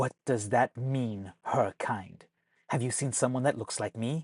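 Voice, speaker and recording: Growling in a put-on character voice, a man speaks with an intense tone at a medium pitch and a fairly slow pace. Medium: read story. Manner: growling, intense.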